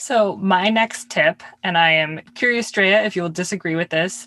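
A woman uses a plain, everyday voice at a medium pitch with ordinary pitch variation. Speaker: wine podcast co-host. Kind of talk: casual chat. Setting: recording in a closet. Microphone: audio glitches, poor sound.

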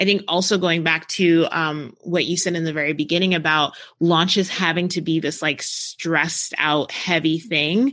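A woman with an American accent speaks at a moderate pace with hardly any pauses, her fairly low pitch carrying a bright, sharp tone over fairly even intonation. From New Jersey, US. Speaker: launch strategist, agency owner. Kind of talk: casual interview.

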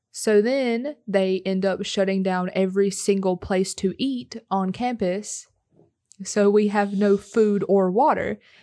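A woman's medium-pitched voice with a dark, mellow tone, fairly even intonation, and a fairly slow pace. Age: 20s. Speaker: college student and podcast co-host. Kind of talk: casual chat.

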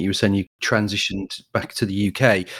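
Talking at a very fast pace, a man speaks at fairly low pitch. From Kent, England. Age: 40s. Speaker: podcast host. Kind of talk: interview.

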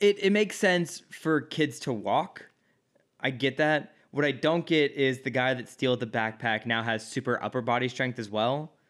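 On a very clean recording with a silent background, a man with an American accent and medium pitch talks at a moderate pace with lively intonation. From US Midwest. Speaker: podcast co-host. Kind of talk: casual chat.

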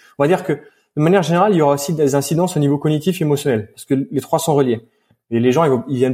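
Speaking at a very fast pace, a man with a fairly high pitch and a dark, mellow, somewhat breathy tone uses ordinary pitch variation in a very clean recording with a silent background. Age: 20s. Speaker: posturologist and strength coach. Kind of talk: interview.

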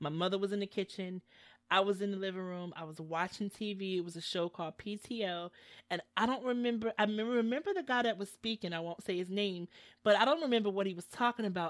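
A woman speaks very fast in a medium-pitched, animated voice with ordinary pitch variation. The recording is very clean, with a silent background and a dry, close sound with no echo. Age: 40s. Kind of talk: casual faith chat. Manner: animated, laughs often.

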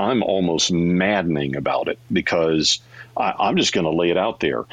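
The man's pitch is very deep and low. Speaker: radio consultant and host. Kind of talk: live panel hosting. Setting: audio chat app room.

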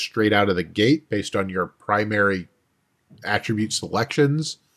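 A man's voice with ordinary pitch variation. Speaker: podcast co-host. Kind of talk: casual chat. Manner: theatrical intro style.

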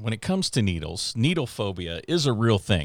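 A man with an American accent speaks in a normal speaking voice, at a fairly low pitch and with lively intonation, on a very clean recording with a silent background. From Houston, Texas suburbs. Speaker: physician assistant in sports medicine, podcast co-host. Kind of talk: casual chat.

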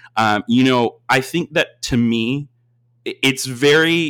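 A man with an American accent and ordinary pitch variation, on a very clean recording with a silent background. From Austin, Texas. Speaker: university admissions advisor. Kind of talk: interview.

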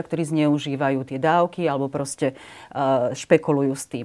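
This woman's very deep, low voice has a dark, mellow tone and fairly even intonation, captured in a very clean recording against a silent background. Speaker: member of parliament. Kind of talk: interview.

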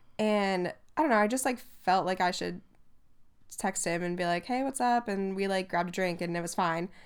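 In a very clean recording with a silent background, a woman uses an unremarkable speaking voice at medium pitch, with ordinary pitch variation and a fairly quick pace. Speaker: podcast co-host. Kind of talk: casual chat, podcast. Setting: laying in bed while recording.

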